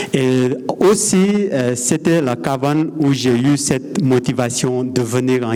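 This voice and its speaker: Noticeable background noise and audible room echo surround this man's voice. He speaks at a medium pitch with ordinary pitch variation. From Nepal. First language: Nepali or Sherpa (speaking French). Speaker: mountain guide. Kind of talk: conference talk. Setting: stage with audience. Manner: halting.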